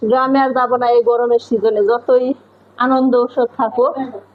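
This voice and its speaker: This is a woman speaking. Her pitch is high. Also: very even loudness. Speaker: vlogger. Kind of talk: casual vlog chat.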